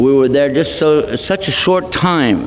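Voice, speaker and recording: Noticeable background noise and audible room echo surround a man's voice. His pitch is fairly high and his intonation lively. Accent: Texan. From Texas. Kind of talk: lecture. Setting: hall with audience. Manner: animated.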